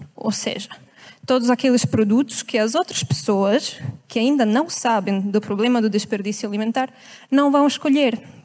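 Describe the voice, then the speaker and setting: This woman, with a non-native accent, speaks at a moderate pace and a fairly high pitch in an animated tone. Her pitch varies in an ordinary way, and her loudness stays very even. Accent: foreign accent in Portuguese. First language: not Portuguese (speaking Portuguese). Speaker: environmental activist. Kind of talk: talk to a live audience.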